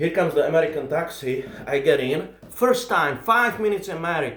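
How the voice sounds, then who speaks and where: An animated man with an Eastern European accent, lively intonation and a fairly quick pace. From Czech Republic. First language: Czech. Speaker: comedian. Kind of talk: stand-up storytelling.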